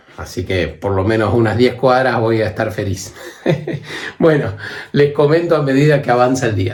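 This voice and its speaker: A man speaks at a moderate pace with a medium pitch and ordinary pitch variation, breaking often for long pauses, amid noticeable background noise and audible room echo. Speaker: travel vlogger. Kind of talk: vlog monologue.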